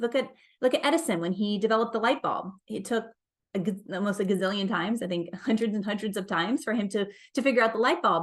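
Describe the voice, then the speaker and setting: Over a quiet background, a woman talks at a very fast pace with a fairly high pitch. Her delivery is animated, with lively intonation. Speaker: life and business coach. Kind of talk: motivational talk.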